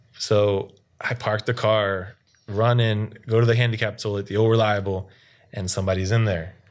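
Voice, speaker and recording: Against a quiet background, a man with an American accent talks at a moderate pace, his pitch fairly low and his intonation monotone and flat. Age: 30s. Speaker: podcast guest, amateur basketball player. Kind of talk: casual chat.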